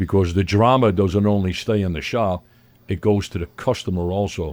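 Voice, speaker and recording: A man with a Brooklyn accent talks at a moderate pace with fairly even intonation. His fairly low voice has a dark, mellow tone. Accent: New York (Brooklyn). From New York City (Brooklyn). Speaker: pizzeria owner. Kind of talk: interview. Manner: loud.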